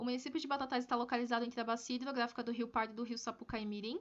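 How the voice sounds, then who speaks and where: A woman's high voice in a monotone, flat delivery. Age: 20s. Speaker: forestry engineering student. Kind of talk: research presentation. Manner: halting, with fillers and repetitions.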